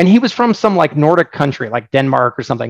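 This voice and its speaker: A man's fairly high voice at a very fast pace, with an American accent, in a dry, close sound with no echo. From Oregon, US. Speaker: software founder. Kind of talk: casual webinar talk, Q&A. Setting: online session with microphone. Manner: casual, humorous.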